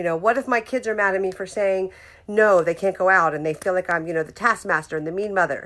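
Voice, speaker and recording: Speaking at a very fast pace, a woman with a medium pitch sounds animated, her pitch varying in an ordinary way while her loudness swings widely. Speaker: motivational speaker. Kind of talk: live-streamed motivational talk. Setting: live video stream at home.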